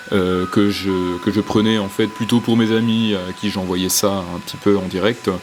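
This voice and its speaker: A man's fairly low voice in a monotone, flat intonation at a moderate pace, with music in the background. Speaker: nature vlogger, snake enthusiast. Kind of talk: vlog narration. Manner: hesitant, many fillers.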